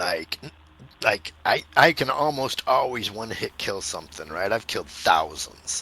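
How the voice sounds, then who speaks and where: This is a put-on character voice with a raspy sound. It moves at a moderate pace. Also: man, medium pitch for a man. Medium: game stream. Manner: excitable, laughing.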